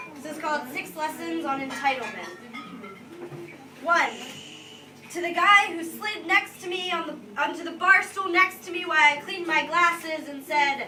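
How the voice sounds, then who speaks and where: A woman with an extremely high pitch uses a raised, projected voice at a fairly slow pace, with long, frequent pauses, ordinary pitch variation, big swings in loudness and music in the background. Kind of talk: live slam poetry performance. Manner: intense, emotional, expressive spoken-word delivery with some stutters.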